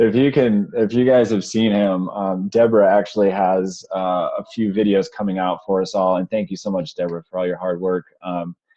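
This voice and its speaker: At a moderate pace and fairly low pitch, a man talks with fairly even intonation and hardly any pauses. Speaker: webinar host for a sales community. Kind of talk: online webinar presentation. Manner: quiet, holding back volume; hesitant, many fillers.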